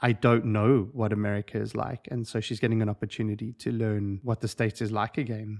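In a South African accent, a man speaks at a fairly quick pace and fairly low pitch with monotone, flat intonation and hardly any pauses. The very clean recording has a silent background and a dry, close sound with no echo. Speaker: incoming ministry leader, coach. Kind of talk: casual interview.

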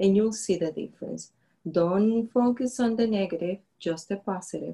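At a moderate pace, a woman with a dark, mellow, somewhat breathy tone speaks at medium pitch with ordinary pitch variation. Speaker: faith podcast co-host. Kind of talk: casual faith-based chat.

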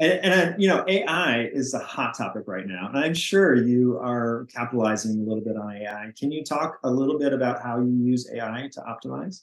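A man's medium-pitched voice, an ordinary speaking voice with lively intonation, at a moderate pace with hardly any pauses. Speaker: podcast host. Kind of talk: interview, scripted intro and outro.

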